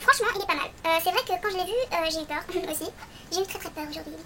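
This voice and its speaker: A woman speaks with a raised, projected voice. Noticeable background noise runs behind her. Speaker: beauty vlogger. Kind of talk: product review tutorial.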